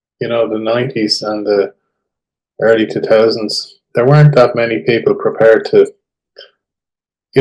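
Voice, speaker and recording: Speaking with an Irish accent, a man moves at a fairly quick pace. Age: 60s. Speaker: tax expert. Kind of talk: interview.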